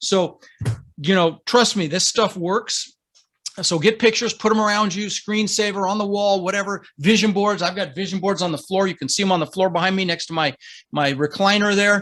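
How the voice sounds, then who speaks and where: A man talks fairly quickly at a high pitch. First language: not English. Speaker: real estate investor and coach. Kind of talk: interview, motivational coaching. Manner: animated.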